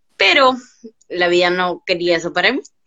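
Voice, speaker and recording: A woman with an unremarkable speaking voice talks at a fairly quick pace, with ordinary pitch variation. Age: 20s. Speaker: guest with ataxia sharing life story. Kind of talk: testimony.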